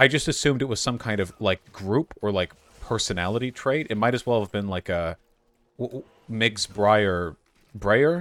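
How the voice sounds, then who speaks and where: Music plays in the background. Over it, a man speaks with an American accent. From Los Angeles area, US. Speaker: live streamer. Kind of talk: casual interview chat. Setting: online call. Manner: loud, boisterous.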